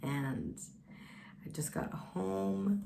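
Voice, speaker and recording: A woman's voice with audible room echo. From Sweden. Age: 20s. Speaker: vlogger. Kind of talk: casual vlog monologue.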